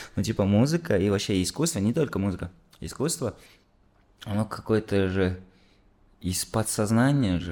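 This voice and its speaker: A man with a dark, mellow tone and fairly low pitch, at a moderate pace with long, frequent pauses, on a very clean recording with a silent background. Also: lively intonation. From Kazakhstan. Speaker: musician. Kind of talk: casual chat.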